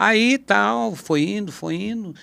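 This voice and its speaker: A man is talking. His tone is bright and sharp. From Brazil, São Paulo state interior. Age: 60s. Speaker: guitarist. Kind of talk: podcast conversation. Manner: casual, halting.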